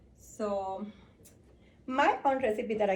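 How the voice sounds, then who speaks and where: A woman with a fairly high pitch talks very slowly in a somewhat breathy voice, her pitch varying in an ordinary way. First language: Spanish. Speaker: home bartender. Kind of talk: casual tutorial. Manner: hesitant, many fillers.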